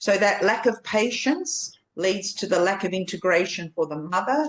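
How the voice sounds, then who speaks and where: Lively intonation and a moderate pace from a woman with an ordinary speaking voice. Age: 60s. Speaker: birth educator. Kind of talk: podcast interview.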